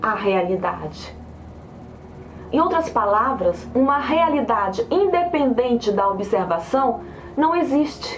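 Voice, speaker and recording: A woman speaks at a very slow pace in a high pitch with very wide pitch swings. There is audible room echo and noticeable background noise. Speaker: science video presenter. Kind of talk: lecture. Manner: hesitant repetitions.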